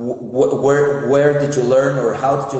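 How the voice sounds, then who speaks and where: A man with a Spanish accent, amid audible room echo and noticeable background noise. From Mexico City. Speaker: psychologist, addiction counselor. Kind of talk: interview. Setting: Instagram live video call from his phone.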